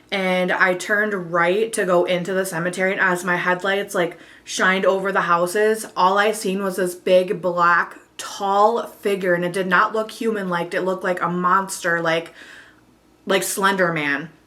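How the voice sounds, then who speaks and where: A woman's monotone, flat intonation carries through noticeable background noise. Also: medium pitch for a woman, moderate pace. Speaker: vlogger. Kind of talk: casual chat. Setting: at home on camera. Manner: eating while talking.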